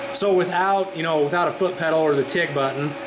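A man's voice with noticeable background noise. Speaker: instructor. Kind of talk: tutorial. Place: workshop.

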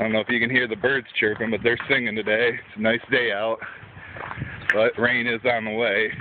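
Against noticeable background noise, a man speaks fairly quickly in a flat monotone, the sound dry with no echo. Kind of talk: casual vlog chat. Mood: relaxed, joking. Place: street. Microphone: phone near.

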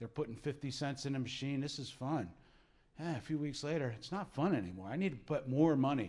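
A normal speaking voice from a man with an American accent, fairly high pitch and fairly quick pace. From southern New Jersey. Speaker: gambling education advisor; presenter. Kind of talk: presentation. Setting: room with live audience. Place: meeting room. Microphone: handheld.

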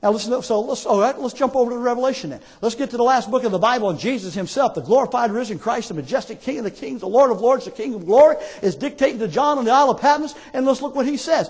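At a very fast pace, a man speaks in an extremely high pitch with an animated tone and ordinary pitch variation. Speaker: preacher, theologian. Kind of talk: sermon preached to a congregation. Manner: emphatic, animated preaching. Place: church. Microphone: podium.

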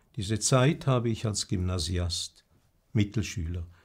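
A somewhat breathy man at a fairly slow pace, fairly low in pitch with lively intonation. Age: 80s+. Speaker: retired bishop; bishop. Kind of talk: prepared personal statement; formal memoir narration. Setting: video recording. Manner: formal. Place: home room.

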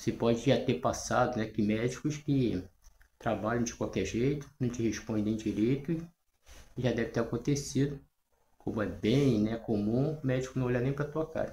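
Audible room echo surrounds a somewhat breathy voice with a dark, mellow tone, moving at a moderate pace with ordinary pitch variation. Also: man. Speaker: natural health and self-healing channel host. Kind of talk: casual talk to camera. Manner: hesitant, with frequent fillers. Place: home room. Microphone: phone near.

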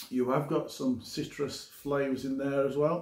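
The voice has a slightly mellow tone with little pitch movement at a fairly slow pace. Audible room echo surrounds it. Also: man.

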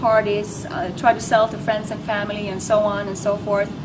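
A woman at medium pitch and a moderate pace, over noticeable background noise. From Norway. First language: Norwegian. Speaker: network marketer. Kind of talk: testimony. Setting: home. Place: hall. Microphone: camera far.

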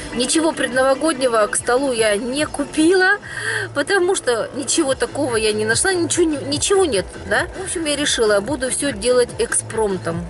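A woman with a high pitch speaks at a moderate pace in a dry sound with no echo, with faint music in the background. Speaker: vlogger. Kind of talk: casual vlog chat. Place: car. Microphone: phone near.

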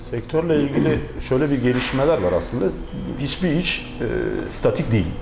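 A man is speaking. There is audible room echo along with light background noise. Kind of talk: interview answer. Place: office. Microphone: lapel.

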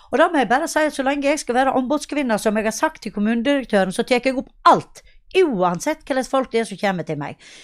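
A high-pitched woman at a very fast pace, lively intonation and hardly any pauses, over a quiet background. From western Norway, Sogn; western Norway. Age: 50s. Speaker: local politician. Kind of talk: interview. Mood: earnest, campaigning. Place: home room. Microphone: handheld.

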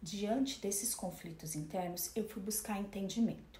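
A woman speaks at a fairly slow pace. The room echo is audible, with light background noise. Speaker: speaker. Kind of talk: lecture. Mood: calm, reflective. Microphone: phone near.

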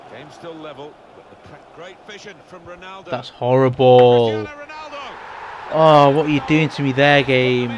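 A man with a fairly high pitch and ordinary pitch variation speaks at a fairly slow pace, with long, frequent pauses, big swings in loudness and noticeable background noise. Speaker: gaming YouTuber. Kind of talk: video game review and gameplay commentary. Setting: home recording over game footage.

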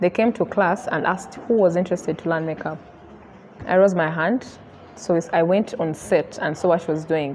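A woman talks at a moderate pace, her pitch varying in an ordinary way, while light noise sits in the background. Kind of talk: interview answer. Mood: relaxed, storytelling. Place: hall. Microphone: lapel.

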